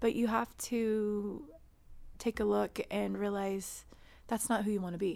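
Speaking at a medium pitch and a fairly slow pace, a woman keeps her intonation fairly even and leaves long, frequent pauses. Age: 40s. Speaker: guest sharing weight loss surgery story. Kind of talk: casual interview.

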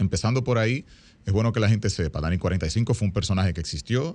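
This is an ordinary speaking voice with lively intonation. The background is quiet. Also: man. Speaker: actor and guest co-host. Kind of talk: radio talk show chat.

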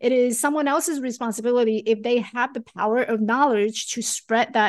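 In a quiet background, a woman speaks at a fairly quick pace with a high pitch and ordinary pitch variation. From Taiwan. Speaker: life coach and author. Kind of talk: interview conversation.

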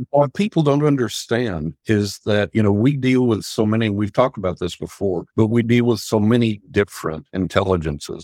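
An unremarkable speaking voice runs at a fairly quick pace with ordinary pitch variation, the sound dry and close with no echo and the recording very clean over a silent background. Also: man. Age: 60s. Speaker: psychic and author. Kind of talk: casual interview chat.

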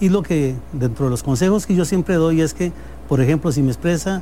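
A moderate pace with ordinary pitch variation. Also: man. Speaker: business owner. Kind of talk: interview.

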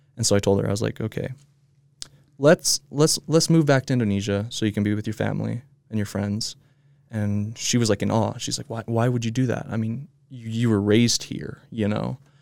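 A man at a fairly quick pace, ordinary pitch variation, a plain, everyday voice. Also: medium pitch for a man. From Utah, US. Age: 20s. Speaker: videographer and social media marketer. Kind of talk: casual interview.

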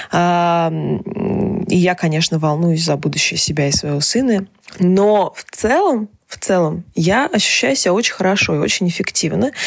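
Noticeable background noise sits behind a woman speaking at a fairly slow pace. Her pitch is fairly low, with ordinary variation. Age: 20s. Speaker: journalist and podcast host. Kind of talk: personal monologue column. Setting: home recording in small apartment.

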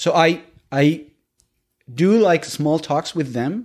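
A man with a Spanish accent talks with ordinary pitch variation in a very clean recording with a silent background. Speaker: English learner, immigrant. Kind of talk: interview. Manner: halting, with repetitions.

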